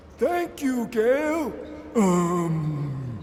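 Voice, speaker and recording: A cartoonish character voice at a middle pitch makes very wide pitch swings, with clear background noise behind it. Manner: short clipped phrases; hesitant.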